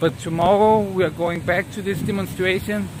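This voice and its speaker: Noticeable background noise is present throughout. The talking keeps a moderate pace. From Denmark. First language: Danish. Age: 30s. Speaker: live streamer. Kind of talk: casual live-stream chat.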